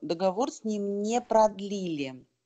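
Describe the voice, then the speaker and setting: At a very slow pace, a woman speaks in a dark, mellow tone at medium pitch. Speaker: seminar participant. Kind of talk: Q&A question. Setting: online webinar.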